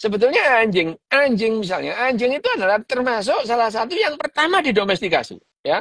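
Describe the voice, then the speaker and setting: Very fast speech from a man with an extremely high pitch, dry and close with no echo. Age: 60s. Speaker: neuroscientist doctor discussing a book. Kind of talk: casual book discussion livestream. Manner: halting, with frequent fillers.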